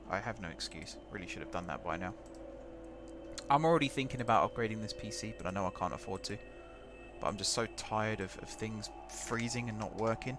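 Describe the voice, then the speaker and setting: Music plays in the background as a man talks at a very fast pace. His pitch is fairly low, with ordinary pitch variation. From England, home counties (Hertfordshire). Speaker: gaming streamer. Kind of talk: live game stream commentary. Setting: live stream. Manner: casual, conversational.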